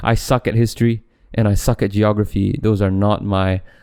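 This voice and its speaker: A man talks at a fairly slow pace in a dark, mellow tone. The sound is dry and close, with no echo. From Malaysia. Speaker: podcast host. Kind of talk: casual monologue. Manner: hesitant, many fillers and restarts.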